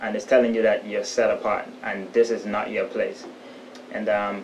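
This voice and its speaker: Noticeable background noise sits under a man talking at a moderate speed. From The Bahamas, Haitian family. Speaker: documentary interviewee. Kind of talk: interview testimony. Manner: halting.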